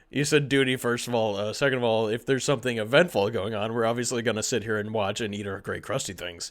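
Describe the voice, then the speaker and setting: Very fast, raspy put-on character voice, very cleanly recorded against a silent background. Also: man, medium pitch for a man. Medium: audio drama. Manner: loud, excitable.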